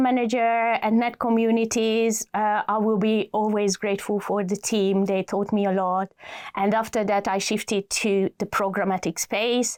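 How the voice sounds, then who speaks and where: A woman with a Hungarian accent, fairly high-pitched, at a moderate pace and very even loudness, on a very clean recording with a silent background. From Hungary. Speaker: adtech executive. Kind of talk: podcast interview. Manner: hesitant, many fillers.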